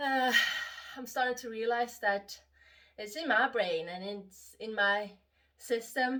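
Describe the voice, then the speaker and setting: With a Swedish accent, a woman speaks at a very slow pace in a bright, sharp tone, her fairly high pitch showing ordinary variation, her loudness swinging widely, and long pauses coming often. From Sweden. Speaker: vlogger. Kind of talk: casual monologue vlog. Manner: halting, many fillers.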